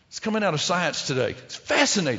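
A man's very fast speech in a Texan accent, with very wide pitch swings and audible room echo. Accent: Texan Southern US. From Texas. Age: 60s. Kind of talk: sermon.

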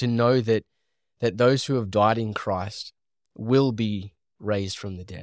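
A man speaks with fairly even intonation, big swings in loudness and long, frequent pauses. The sound is dry and close with no echo, in a very clean recording with a silent background. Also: fairly low pitch for a man, fairly slow pace. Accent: Australian. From Australia. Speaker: podcast host. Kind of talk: commentary conversation on Bible study. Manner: rambling, conversational.

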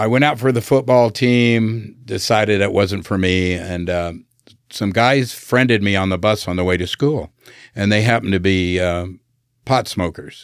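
In a very clean recording with a silent background, a man with an American accent speaks fairly slowly at a fairly low pitch, with ordinary pitch variation. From Southern California. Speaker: navy veteran and business owner. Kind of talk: casual interview. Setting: studio.

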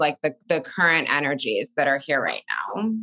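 Raspy and low for a woman, her voice has a bright, sharp tone and lively intonation. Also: moderate pace.

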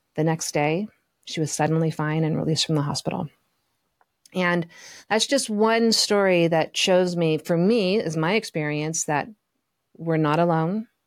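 This woman has an unremarkable speaking voice, fairly low in pitch and at a fairly slow pace, captured in a dry, close sound with no echo on a very clean recording with a silent background. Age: 50s. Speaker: podcast co-host, spiritual teacher. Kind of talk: casual chat.

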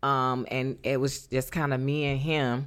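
Over a silent background in a very clean recording, a woman with a Southern US accent talks at a fairly slow pace in a very deep, low pitch with monotone, flat intonation. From North Carolina. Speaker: divorced mother of three. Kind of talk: interview. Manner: halting.

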